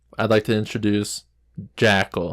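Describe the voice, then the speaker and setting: A man's voice on a very clean recording with a silent background. The sound is dry and close, with no echo. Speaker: podcast co-host. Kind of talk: casual chat. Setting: small home studio. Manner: slow.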